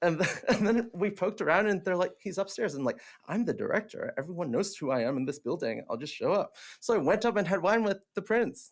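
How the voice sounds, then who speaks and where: Very fast and with lively intonation, a man speaks in a high pitch in a very clean recording with a silent background. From Hong Kong. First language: Cantonese. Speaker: theatre director, actor and teacher. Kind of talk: casual chat. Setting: podcast interview. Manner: animated; halting, many fillers.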